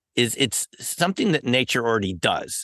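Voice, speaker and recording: A man with an American accent speaks in a bright, sharp tone, his voice dry and close with no echo against a quiet background. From New York City area. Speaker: former professor and paranormal researcher. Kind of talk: interview.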